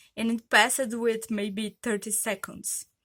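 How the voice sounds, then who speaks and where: A woman speaks fairly slowly in a Brazilian accent, her pitch fairly high and her tone bright and sharp. The recording is very clean, with a silent background. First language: Portuguese. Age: 30s. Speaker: vlogger. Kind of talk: personal vlog testimony. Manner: hesitant, many fillers.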